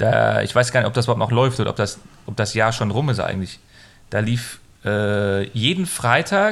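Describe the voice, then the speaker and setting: Speaking at a moderate pace, the man has a medium pitch and ordinary pitch variation. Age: 30s. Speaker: film podcast host. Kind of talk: casual chat.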